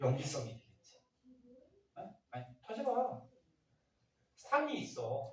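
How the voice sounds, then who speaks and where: Amid audible room echo, a man talks at a very slow pace with very wide pitch swings. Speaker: science teacher. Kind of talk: classroom lecture. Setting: classroom with students. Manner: muffled by face mask; conversational, questioning.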